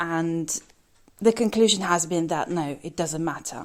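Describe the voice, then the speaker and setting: A woman with a British accent speaks with lively intonation in a very clean recording with a silent background. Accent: British with a slight twang. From UK, raised in bilingual Russian household. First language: Russian. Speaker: English teacher. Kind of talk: podcast monologue. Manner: casual with frequent fillers.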